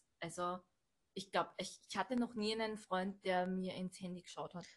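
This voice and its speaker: This woman speaks at a medium pitch with fairly even intonation and big swings in loudness. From Austria, Burgenland. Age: 30s. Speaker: manager at a stairlift company. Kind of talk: casual chat.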